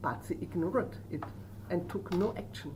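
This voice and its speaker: A woman speaks fairly slowly with a German accent. The room echo is audible. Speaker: professor of social work. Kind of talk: lecture. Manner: halting.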